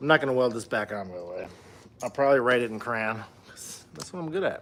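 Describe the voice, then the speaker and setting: A man talks with an American accent. His pitch swings very widely. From Minnesota, US Upper Midwest. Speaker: DIY car builder livestreamer. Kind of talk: casual livestream while working in garage. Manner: casual, filler-heavy with many ums.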